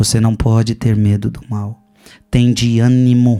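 With music in the background, a man with a Brazilian accent speaks at a medium pitch and a fairly slow pace in a monotone, flat intonation. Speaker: preacher. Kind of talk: Lenten sermon, teaching from a book and the Bible. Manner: direct, repeats phrases for emphasis.

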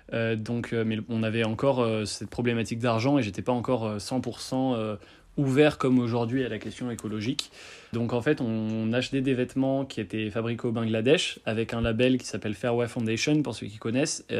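Medium-pitched speech from a man, at a moderate pace with fairly even intonation. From France, Bordeaux. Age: 20s. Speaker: young clothing brand founder. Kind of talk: recorded personal testimony (voice memo). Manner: hesitant, many fillers.

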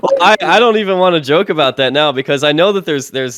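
Vocal fry runs through this voice with an American accent. The pace is very fast. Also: man. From US Midwest. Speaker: podcast co-host. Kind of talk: casual chat.

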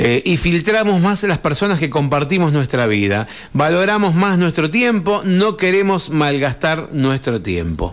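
A man's plain, everyday voice, fairly high-pitched and fairly slow, with lively intonation, hardly any pauses and very even loudness. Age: 40s. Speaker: radio host. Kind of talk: radio talk show.

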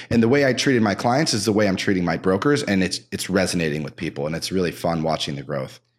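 A man with a very deep, low pitch races along at a very fast pace, hardly pausing, and his pitch swings very widely. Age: 50s. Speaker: real estate broker. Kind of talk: casual chat. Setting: home basement studio.

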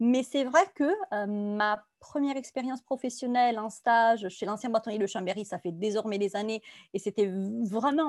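In a very clean, dry, close recording with no echo and a silent background, a woman speaks at a fairly slow pace with an Italian accent, her pitch fairly high with ordinary variation. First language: Italian (speaking French). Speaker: compliance consultant. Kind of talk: interview.

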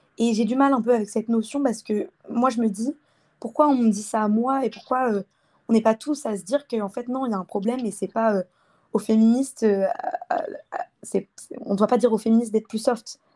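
Speaking at a fairly quick pace with long, frequent pauses, a woman with a fairly high pitch, a dark, mellow tone and a somewhat breathy quality shows ordinary pitch variation in a dry, close recording with no echo. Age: 20s. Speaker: engineering student. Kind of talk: interview.

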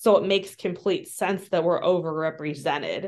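Over a quiet background, a woman talks with a Midwestern American accent at a fairly low pitch. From US Midwest. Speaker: social worker and adoption trauma trainer. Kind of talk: interview conversation.

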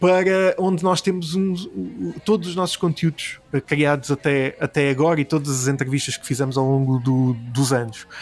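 Music plays behind a man speaking at a moderate pace. His pitch is fairly high, with ordinary variation. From Portugal, Alentejo. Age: 30s. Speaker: gaming and film website founder. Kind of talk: casual interview. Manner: hesitant, many fillers and repetitions.

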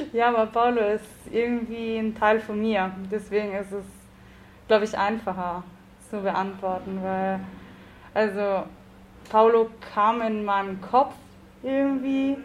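A woman with a fairly high voice speaks at a fairly slow pace. She leaves long, frequent pauses. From South Tyrol, Italy (Bolzano), Italian-speaking. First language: Italian (speaking German). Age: 20s. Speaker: novelist and academic researcher. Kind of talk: casual interview.

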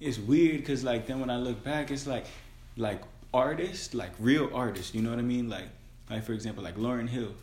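Audible room echo surrounds a man speaking at a fairly quick pace in a medium pitch with ordinary pitch variation. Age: 20s. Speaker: podcast co-host. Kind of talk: casual chat.

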